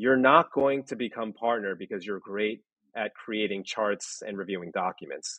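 This man has an unremarkable speaking voice at a fairly low pitch. He talks at a moderate pace with ordinary pitch variation. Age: 30s. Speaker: former lawyer working in legal technology. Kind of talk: interview.

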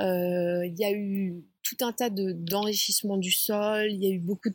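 A woman speaks at a fairly slow pace with a medium pitch and monotone, flat intonation. Her voice is somewhat breathy, and the sound is dry and close with no echo. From Paris suburbs, France. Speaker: Buddhist nun and retreat founder. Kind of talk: interview. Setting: outdoors.

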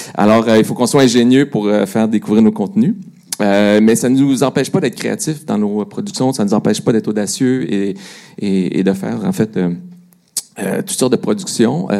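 Lively intonation and a dark, mellow tone mark this man's speech in a Quebec accent. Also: medium pitch for a man, moderate pace. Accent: Québécois. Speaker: digital media director. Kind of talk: panel discussion. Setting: stage with audience.

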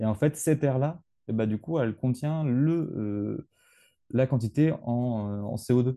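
Over a quiet background, a man talks at a very slow pace with a dark, mellow tone, a medium pitch and ordinary pitch variation. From rural France. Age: 20s. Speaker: geology student. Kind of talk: interview. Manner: halting.

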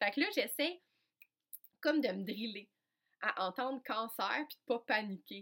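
Speaking fairly slowly with long, frequent pauses, a woman with a Quebec accent uses a fairly high pitch and big swings in loudness. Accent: Québécois French. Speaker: podcast host and coach. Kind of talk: personal storytelling monologue. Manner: animated, frequent hesitations.

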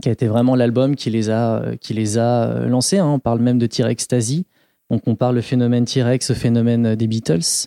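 At a moderate pace, a man with a dark, mellow tone and medium pitch speaks with fairly even intonation and very even loudness, in a dry, close sound with no echo on a very clean recording with a silent background. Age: 30s. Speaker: podcast guest, music enthusiast. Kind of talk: casual chat.

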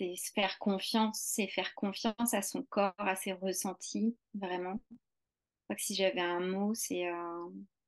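The sound is dry and close, with no echo. A woman at medium pitch speaks very slowly with fairly even intonation. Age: 40s. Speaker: English teacher and movement practice teacher. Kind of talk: interview. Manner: halting.

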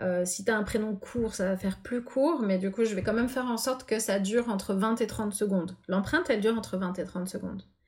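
Somewhat breathy and fairly high in pitch, a woman speaks with hardly any pauses. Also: ordinary pitch variation, fairly quick pace. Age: 40s. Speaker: pianist and composer. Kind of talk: interview.

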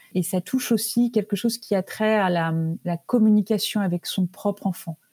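Somewhat breathy and at a medium pitch, a woman's voice has a dark, mellow tone and a fairly slow pace, with a dry, close sound, no echo and a very clean recording over a silent background. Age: 50s. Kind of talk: interview. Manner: hesitant, many filler words.

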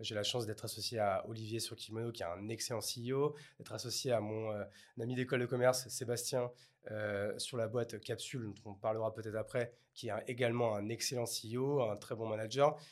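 Monotone and flat in intonation, a man speaks in a very clean recording with a silent background. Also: medium pitch for a man, fairly quick pace. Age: 30s. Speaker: entrepreneur. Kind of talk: interview.

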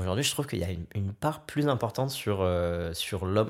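With a fairly low pitch and ordinary variation, a man speaks in a plain, everyday voice in a very clean recording with a silent background. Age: 20s. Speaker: content creator. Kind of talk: casual chat.

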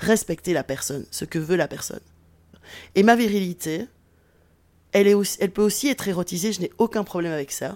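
Long, frequent pauses break up the speech of a woman with a medium pitch, recorded very cleanly against a silent background. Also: ordinary pitch variation. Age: 40s. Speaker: sociology professor. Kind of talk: interview testimony.

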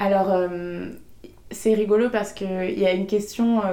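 Audible room echo surrounds a woman whose dark, mellow voice moves at a moderate pace with monotone, flat intonation. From western France, Maine-et-Loire near Angers. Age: 20s. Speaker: entrepreneur, podcast creator. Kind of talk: interview conversation. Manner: hesitant with fillers.

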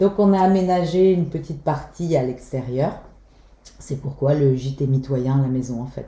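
Her voice is very deep and low with a dark, mellow tone, somewhat breathy, as this woman speaks at a moderate pace. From Brittany, Belle-Île. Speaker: holiday rental owner. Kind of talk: interview.

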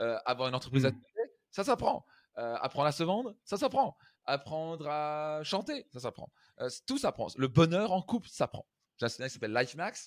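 Dry and close with no echo on a very clean recording with a silent background, a man's fairly high voice sounds animated, with very wide pitch swings at a moderate pace. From France, Strasbourg (Alsace). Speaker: life coach and seminar speaker. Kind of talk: interview conversation.

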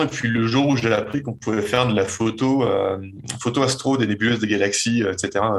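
A man delivers his words at a moderate pace, his intonation staying fairly even. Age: 20s. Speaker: night landscape photographer. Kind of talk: interview. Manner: halting, frequent repetitions.

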